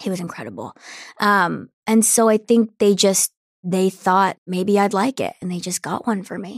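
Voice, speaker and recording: Recorded very cleanly against a silent background, with a dry, close sound and no echo, a woman talks in an ordinary speaking voice. Her pitch is medium with ordinary variation, her pace is moderate, and her loudness swings widely. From New Jersey, US. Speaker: alternative singer-songwriter. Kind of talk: casual interview.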